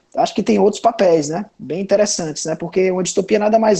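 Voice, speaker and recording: A man with a Ceará accent speaks with ordinary pitch variation. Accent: northeastern Brazilian (Cearense) Portuguese. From Brazil, Ceará (Sobral, interior). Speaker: comics writer. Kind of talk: panel discussion. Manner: casual, hesitant with fillers.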